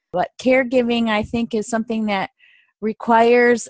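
A woman talks at a fairly high pitch and moderate pace with ordinary pitch variation. The sound is dry and close, with no echo.

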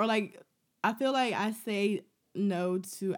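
A woman speaks in an animated tone. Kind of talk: casual chat. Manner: animated, bantering.

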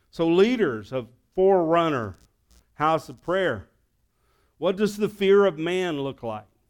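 A man with a Southern US accent, high pitch and lively intonation at a fairly slow pace, with long, frequent pauses and big loudness swings on a very clean recording with a silent background. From US South. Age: 60s. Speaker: pastor. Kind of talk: sermon.

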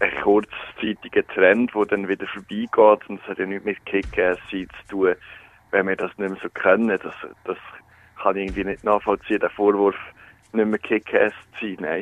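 Speaking at a moderate pace with long, frequent pauses, a man with a fairly low pitch shows big swings in loudness. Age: 20s. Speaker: student and radio presenter. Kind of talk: phone interview. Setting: phone call.

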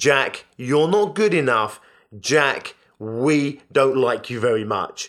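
Very slowly and with lively intonation, a man with a British accent talks at a fairly high pitch on a very clean recording with a silent background. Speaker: business podcast host and coach. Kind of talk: motivational monologue. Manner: animated.

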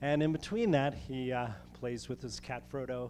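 This man, with an unremarkable speaking voice, talks fairly slowly at a medium pitch, his intonation fairly even. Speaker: host introducing speaker. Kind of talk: introduction speech. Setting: stage with audience.

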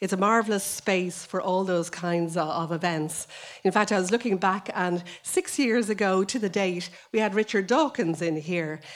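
A woman speaks with an Irish accent. Her pitch variation is ordinary. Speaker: librarian. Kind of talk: welcome speech. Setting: stage with audience.

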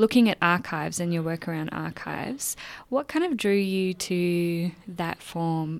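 With an Australian accent, the speaker talks at a fairly slow pace with ordinary pitch variation on a very clean recording with a silent background. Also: woman, fairly low pitch for a woman. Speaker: writer and guest interviewer. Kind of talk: interview conversation.

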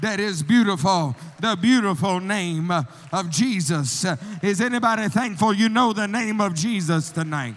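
In a room with audible echo, a man with a high pitch talks at a fairly slow pace, his tone animated and his intonation lively. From US South, Alabama. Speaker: missionary. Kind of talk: sermon. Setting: church.

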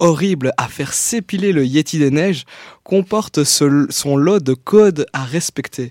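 The sound is dry and close, with no echo. A man with a fairly high pitch speaks at a very slow pace with ordinary pitch variation. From Belgium, Liège. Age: 20s. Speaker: youth columnist, journalism graduate. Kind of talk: reading own text aloud; announcements.

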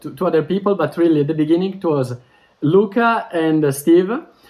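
Ordinary pitch variation with an Italian accent over a quiet background. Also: man. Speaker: language teacher. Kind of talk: interview. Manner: fast.

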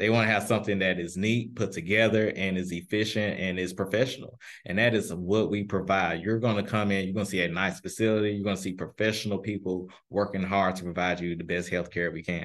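A man with a Memphis accent talks at a very fast pace with hardly any pauses. His pitch is fairly low, his intonation fairly even, and the background is quiet. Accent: Southern US (Memphis). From US South, Memphis, Tennessee. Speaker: pharmacist. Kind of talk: interview.

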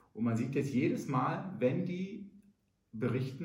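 A man's medium-pitched voice with very wide pitch swings at a fairly slow pace, with audible room echo. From Rhineland, Germany. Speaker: entrepreneur. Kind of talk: business advice monologue.

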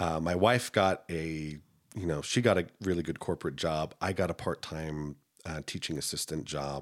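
This man has a very deep, low voice and an American accent, speaking at a moderate pace with ordinary pitch variation. The recording is very clean, with a silent background. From US, military family, raised mostly in Utah. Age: 30s. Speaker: singer and game master. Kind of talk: casual interview.

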